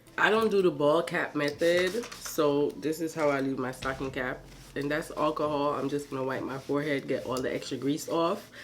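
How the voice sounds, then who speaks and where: A woman speaks at a very deep, low pitch and a moderate pace, with ordinary pitch variation. Noticeable background noise is present. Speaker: beauty vlogger. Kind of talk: casual vlog tutorial.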